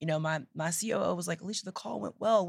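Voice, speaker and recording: Talking at a very fast pace in an animated tone, a woman with an American accent has a fairly low pitch, ordinary pitch variation and vocal fry. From East Texas. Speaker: startup founder and CEO. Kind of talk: casual interview. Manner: animated, laughs often.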